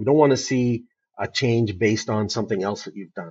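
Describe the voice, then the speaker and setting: This man's voice is somewhat breathy. He talks at a fairly quick pace with ordinary pitch variation. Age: 60s. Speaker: company CEO. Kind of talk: interview. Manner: halting.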